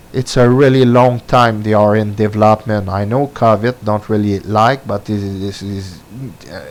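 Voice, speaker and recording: A man talks with a French accent. His pitch variation is ordinary. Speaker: gaming commentator. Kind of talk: opinion monologue. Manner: halting, many fillers.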